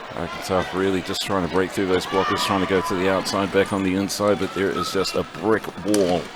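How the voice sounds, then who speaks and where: A man with a New Zealand accent talks at a fairly quick pace with hardly any pauses, in a very deep, low pitch. His intonation is monotone and flat, with noticeable background noise. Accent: Kiwi. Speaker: roller derby commentator. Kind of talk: live commentary.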